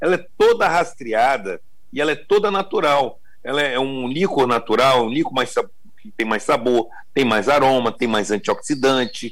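A man speaks at a moderate pace. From Espírito Santo, Brazil. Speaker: chocolate company CEO. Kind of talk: interview. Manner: halting.

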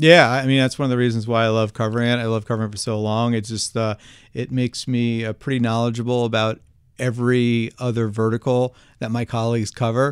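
A man speaks very fast with an American accent, his medium-pitched voice flat and monotone, on a very clean recording with a silent background. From New Jersey. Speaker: podcast host, analyst. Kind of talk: interview.

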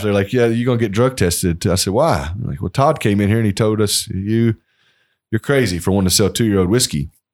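Speaking at a very fast pace with a Kentucky accent, a man comes through in a very clean recording with a silent background. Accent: Kentucky, US South. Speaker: master distiller. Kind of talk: casual interview. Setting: historic home on location.

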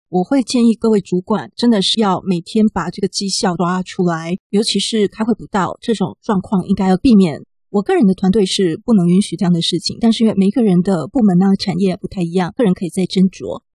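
With a Taiwanese accent, the speaker talks at a fairly quick pace with hardly any pauses, sounding somewhat breathy with a dark, mellow tone and ordinary pitch variation, in a dry, close sound with no echo. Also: woman, medium pitch for a woman. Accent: Taiwanese Mandarin. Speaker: podcast host. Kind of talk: casual chat. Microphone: poor recording environment.

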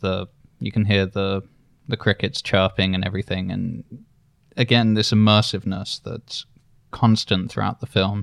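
In a very clean, dry and close recording with a silent background and no echo, a man with vocal fry speaks at a fairly low pitch with fairly even intonation and long, frequent pauses. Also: moderate pace. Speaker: podcast host. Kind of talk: casual chat.

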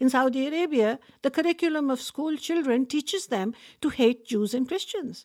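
A woman speaks at a high pitch with ordinary variation. The sound is dry and close with no echo, on a very clean recording with a silent background. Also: moderate pace. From Pakistan. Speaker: human rights activist. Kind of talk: interview conversation.

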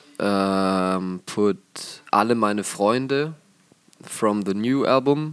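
Very slowly, a man speaks with a German accent. His fairly low pitch shows ordinary variation. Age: young. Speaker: rock drummer. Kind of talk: interview. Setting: concert venue.

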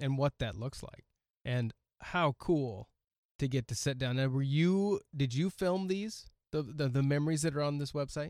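With a plain, everyday voice and an American accent, a man speaks at a moderate pace in a fairly high pitch with ordinary variation, on a very clean recording with a silent background. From US Pacific Northwest, Oregon coast. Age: 40s. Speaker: podcast host. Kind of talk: casual interview chat. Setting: studio.

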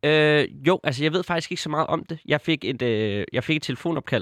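A man at a fairly slow pace with lively intonation, dry, close sound with no echo, and a quiet background. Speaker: football podcast co-host. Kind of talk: casual chat. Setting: studio. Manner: halting, many filler sounds.

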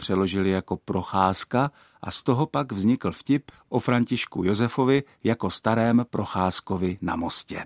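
A man's fairly low voice at a fairly slow pace, a normal speaking voice, on a very clean recording with a silent background. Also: dry, close sound with no echo. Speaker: linguist / Czech language expert. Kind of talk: scripted narration. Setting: radio studio. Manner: formal.

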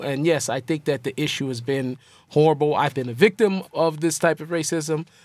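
A man's normal speaking voice with an American accent, fairly high pitch, fairly even intonation and a fairly quick pace, in a very clean recording with a silent background. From Seattle, US Pacific Northwest. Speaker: rapper. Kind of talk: interview.

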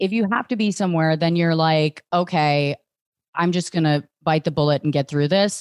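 In a General American accent, a woman with an unremarkable speaking voice and fairly low pitch talks at a moderate pace, her loudness very even and pitch variation ordinary, in a dry, close sound with no echo. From Northern Virginia, near DC. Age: 30s. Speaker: stand-up comedian. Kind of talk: casual interview.

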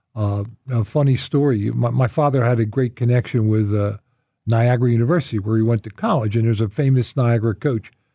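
A man with an American accent, somewhat breathy and dark, mellow in tone, very fast, with fairly even intonation and very even loudness, against a quiet background. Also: medium pitch for a man. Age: 70s. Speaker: former college basketball player. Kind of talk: interview. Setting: studio. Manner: halting.

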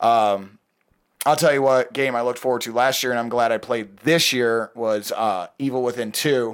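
On a very clean recording with a silent background, a man talks in a plain, everyday voice at a moderate pace, medium pitch and fairly even intonation. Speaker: podcast guest. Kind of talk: casual banter.

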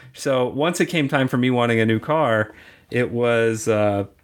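With a plain, everyday voice, this man speaks at a medium pitch and ordinary pitch variation. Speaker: tech manager and theme park enthusiast. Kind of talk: interview. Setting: remote call.

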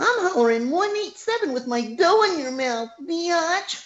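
A put-on character voice, squeaky and extremely high-pitched, speaks at a fairly slow pace. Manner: cute voice delivering a crude line, comedic.

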